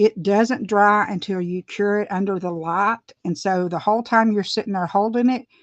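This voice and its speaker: A woman with an Appalachian accent talks at medium pitch and a moderate pace, with ordinary pitch variation, against a quiet background. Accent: Southern US (Appalachian). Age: 50s. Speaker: beauty vlogger. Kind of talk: casual livestream tutorial. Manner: chatty, rambling with hesitations.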